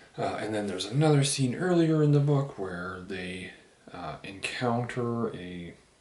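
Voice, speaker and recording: With lively intonation, a man delivers his words at a fairly slow pace. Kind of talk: casual book review talk to camera, while drinking a beer. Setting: home, recorded on camera with poor sound. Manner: whispered, quiet.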